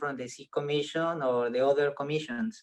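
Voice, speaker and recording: A man with a Spanish accent speaks at a fairly quick pace. His pitch is fairly high. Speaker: biologist and science communicator. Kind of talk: audience question. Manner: halting.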